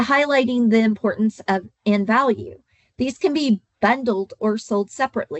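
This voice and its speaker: A woman's fairly high voice with an Oklahoma accent, at a moderate pace, with ordinary pitch variation and very even loudness. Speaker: insurance agent trainer. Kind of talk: training webinar.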